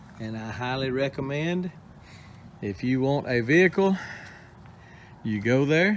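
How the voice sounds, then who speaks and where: Lively intonation carries a Texan accent at a fairly slow pace, with long, frequent pauses. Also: man. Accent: Texan Southern US. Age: 60s. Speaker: homesteading YouTuber. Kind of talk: casual vlog talk to camera. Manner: folksy, hesitant with fillers.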